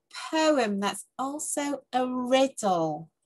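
A woman with a high pitch and lively intonation at a very slow pace, over a quiet background. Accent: British. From England. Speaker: tutor. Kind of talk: casual talk to camera. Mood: warm, cheerful. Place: home room. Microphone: webcam.

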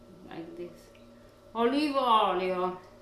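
A woman speaks with lively intonation and a fairly bright tone. Strong echo fills the room.

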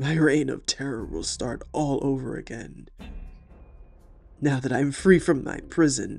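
Low-to-middle pitch in a put-on character voice, delivered at a fairly slow pace. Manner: horrible.

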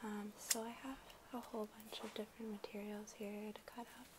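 A soft-spoken woman talks at a fairly slow pace in a flat monotone over loud background noise. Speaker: ASMR content creator. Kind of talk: ASMR soft-spoken talk to camera. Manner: soft-spoken, quiet. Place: home room.

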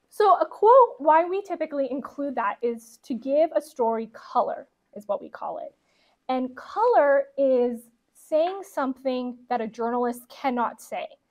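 Against a quiet background, a woman talks in a high voice at a fairly slow pace. Her loudness swings widely. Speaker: guest. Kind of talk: talk answering questions. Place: classroom. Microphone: lapel.

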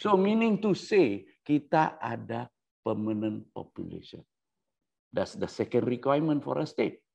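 A fairly high-pitched man at a fairly slow pace, with very wide pitch swings. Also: quiet background. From Sabah, Malaysia (born Sandakan); Sabah, Malaysia. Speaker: researcher on constitutional history. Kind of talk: lecture. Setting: Facebook live session. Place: home room. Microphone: lapel.

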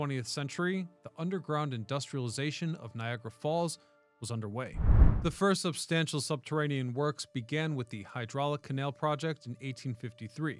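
Faint music plays in the background as a man speaks at a fairly quick pace. His pitch variation is ordinary, and the sound is dry with no echo. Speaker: history channel host. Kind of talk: documentary narration. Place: studio. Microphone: studio mic.

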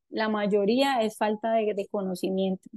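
In a quiet setting, a woman with a fairly high voice talks at a fairly slow pace. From Colombia, Antioquia (paisa). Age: 30s. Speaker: entrepreneur, cosmetics company founder; guest. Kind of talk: talk to a forum audience. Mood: warm, reflective. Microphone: video call.

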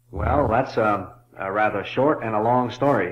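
Fairly slow speech from a man with ordinary pitch variation. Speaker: author and illustrator. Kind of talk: interview answer. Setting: old cassette recording. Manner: hesitant, thoughtful. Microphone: old recording.

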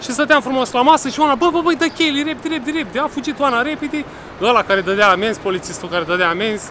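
A man talks at a very fast pace in an extremely high pitch, with lively intonation and a raised, projected voice. Light background noise can be heard. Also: dry sound with no echo. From Romania. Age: 40s. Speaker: vlogger. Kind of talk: casual vlog chat. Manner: loud. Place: street. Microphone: phone near.

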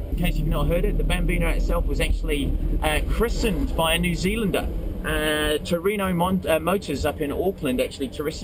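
A man talks at a fairly quick pace. Noticeable background noise is present. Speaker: car show host. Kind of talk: commentary. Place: car.

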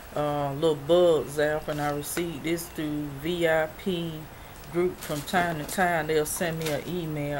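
Noticeable background noise sits behind a woman speaking at a fairly slow pace. Her pitch is very deep and low, her intonation monotone and flat. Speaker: YouTube freebies and review vlogger. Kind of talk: casual vlog showing products. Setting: home video. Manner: halting, filler-heavy.

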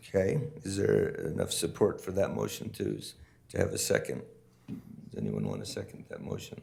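Recorded with audible room echo, a man's voice shows big swings in loudness. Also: moderate pace. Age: 60s. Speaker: mayor chairing city council. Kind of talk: council meeting debate.

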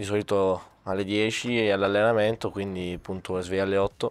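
The voice comes across with a monotone, flat intonation and a dry sound with no echo. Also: man. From Sicily, Catania. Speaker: youth footballer. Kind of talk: casual interview. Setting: training center. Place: studio. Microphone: handheld.

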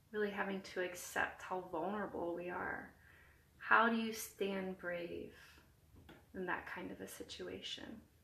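A woman's calm, soothing voice at a medium pitch, fairly slow, with ordinary pitch variation and audible room echo. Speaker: hospital chaplain. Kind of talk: guided meditation. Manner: calm, slow, soothing; gentle, reassuring. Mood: calm, gentle, soothing. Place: home room. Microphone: phone near.

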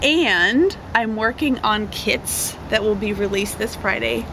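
A woman speaking at a very slow pace, in a dry sound with no echo and noticeable background noise. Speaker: craft kit seller. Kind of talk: casual vlog chat. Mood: cheerful, chatty. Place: garden. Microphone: camera far.

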